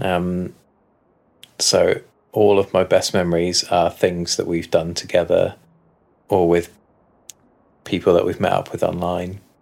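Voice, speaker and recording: Man's voice, fairly slow in pace, broken by long, frequent pauses. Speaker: podcast co-host. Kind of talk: casual chat.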